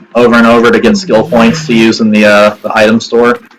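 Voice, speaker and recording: At a moderate rate, a man talks in a medium register. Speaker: gaming youtuber. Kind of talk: game walkthrough commentary. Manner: loud; casual, hesitant with fillers.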